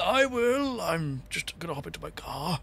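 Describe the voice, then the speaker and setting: Using a raspy, put-on character voice pitched high for a man, he speaks at a moderate pace with very wide pitch swings, and clear background noise can be heard. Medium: actual play.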